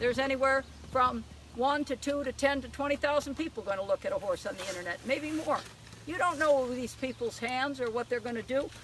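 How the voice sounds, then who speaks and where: Against noticeable background noise, a woman with a high voice speaks at a fairly quick pace. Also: ordinary pitch variation. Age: 60s. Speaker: horse trainer. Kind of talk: live demonstration with audience.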